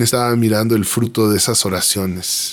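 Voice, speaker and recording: Speaking at a moderate pace with fairly even intonation, a man talks in a Mexican accent. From Mexico City. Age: 30s. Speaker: graphic designer and worship singer-songwriter. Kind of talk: personal testimony interview. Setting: radio studio.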